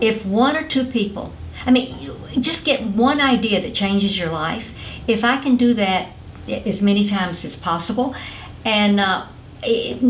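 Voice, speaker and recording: In a Southern US accent, a woman talks at a moderate pace with a fairly high pitch and lively intonation. Audible room echo and noticeable background noise fill the recording. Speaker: motivational speaker and former network marketing company president. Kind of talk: interview. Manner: animated.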